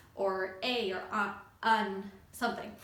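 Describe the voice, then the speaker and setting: There is audible room echo and noticeable background noise as a woman speaks with fairly even intonation. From Canada, Montreal (Anglophone area). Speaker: YouTuber, feminist commentator, flutist. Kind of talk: casual vlog talk. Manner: many fillers (um, uh).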